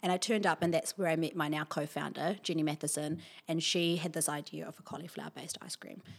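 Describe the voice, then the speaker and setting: In a New Zealand accent, a voice with vocal fry speaks very fast in a monotone, flat way, with big swings in loudness, on a very clean recording with a silent background. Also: woman, fairly low pitch for a woman. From New Zealand, Wellington. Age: young. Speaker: entrepreneur. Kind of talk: interview.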